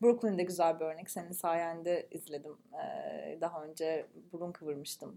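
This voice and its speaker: At a moderate pace and fairly low pitch, a woman talks with hardly any pauses in a dark, mellow tone, her pitch varying in an ordinary way while her loudness swings widely. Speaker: podcast co-host. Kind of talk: casual chat. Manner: animated, vocal.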